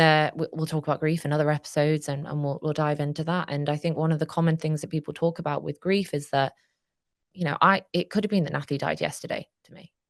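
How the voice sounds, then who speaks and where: Her voice very deep and low, a woman speaks at a very fast pace in a monotone, flat manner with big swings in loudness, the sound dry and close with no echo. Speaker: charity director. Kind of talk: interview. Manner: halting.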